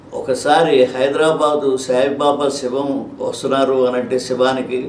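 A man with a medium pitch speaks in a flat monotone. There is audible room echo and noticeable background noise. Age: 80s+. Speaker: retired auditor, devotee. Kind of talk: interview, personal testimony. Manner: halting.

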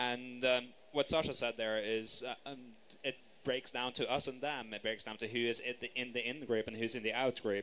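At a moderate pace, a man delivers his words in a medium-pitched, monotone, flat voice. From Norway. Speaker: counter-extremism worker. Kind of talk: panel discussion. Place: stage.

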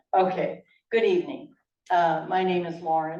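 A woman's voice carries audible room echo. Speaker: event organizer, retired teacher. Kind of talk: public event opening remarks. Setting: library meeting room with audience, PA mic.

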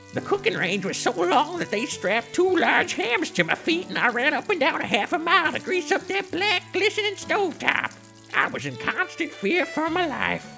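Moderate-paced speech with hardly any pauses over clear music in the background. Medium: comedy sketch. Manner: earnest, haunted.

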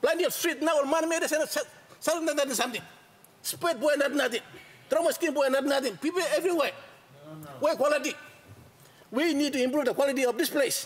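An extremely high-pitched man talks at a fairly quick pace with ordinary pitch variation and long, frequent pauses. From Papua New Guinea. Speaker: member of parliament. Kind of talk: parliamentary speech. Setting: parliament chamber. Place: hall. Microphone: podium.

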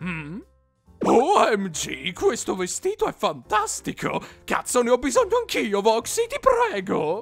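A put-on character voice at a fairly high pitch and fairly slow pace, with faint music in the background. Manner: flamboyant.

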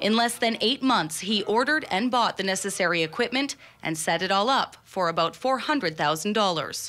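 Using a normal speaking voice, a woman talks at a fairly quick pace with a fairly high pitch and lively intonation. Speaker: TV news reporter. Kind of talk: TV news report narration.

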